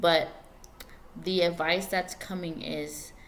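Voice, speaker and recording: A woman's voice with audible room echo. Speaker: tarot reader. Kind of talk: tarot reading. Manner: halting.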